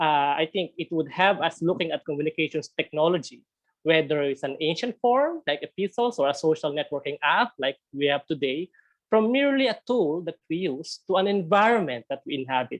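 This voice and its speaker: The speaker uses a Filipino accent and talks at a fairly quick pace. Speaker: theology speaker. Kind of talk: webinar presentation. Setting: video call. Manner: halting, frequent repetitions.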